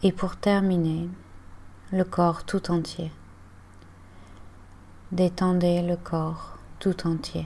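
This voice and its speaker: Very slow, calm and soothing speech from a woman, fairly low-pitched, somewhat breathy, with a dark, mellow tone and flat, monotone intonation. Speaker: yoga and meditation guide. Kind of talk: guided relaxation / yoga nidra body scan. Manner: calm, slow, soothing.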